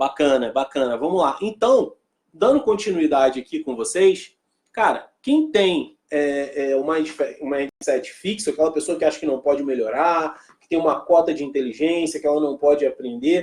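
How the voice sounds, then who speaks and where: A man's fairly high pitch with ordinary pitch variation, a moderate pace and big swings in loudness. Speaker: motivational speaker. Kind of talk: live stream talk. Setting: live stream. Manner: animated.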